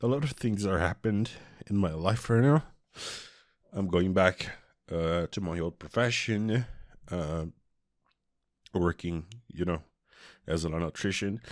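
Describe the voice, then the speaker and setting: Speaking at a fairly slow pace with long, frequent pauses, a man with a Portuguese accent and a very deep, low pitch shows ordinary pitch variation in a very clean recording with a silent background. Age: 20s. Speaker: vlogger. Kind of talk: personal confession. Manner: halting.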